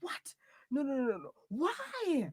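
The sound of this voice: A woman does a put-on character voice at a high pitch, with very wide pitch swings. Her delivery is slow and her tone slightly mellow.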